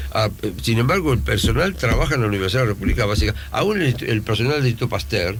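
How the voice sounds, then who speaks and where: Speaking very fast, a man keeps his loudness very even while his pitch swings very widely. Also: medium pitch for a man, hardly any pauses. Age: 70s. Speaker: university rector. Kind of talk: radio interview.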